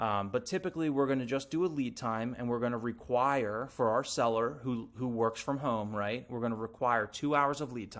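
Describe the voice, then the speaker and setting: With hardly any pauses, a man talks at a medium pitch and ordinary pitch variation. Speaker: real estate agent trainer. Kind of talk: tutorial. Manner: fast.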